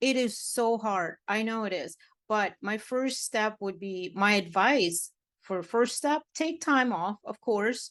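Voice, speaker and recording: The speaker has a Russian accent and ordinary pitch variation. The sound is dry and close, with no echo. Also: woman, quiet background. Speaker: matchmaker and dating coach. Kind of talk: podcast interview. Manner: animated.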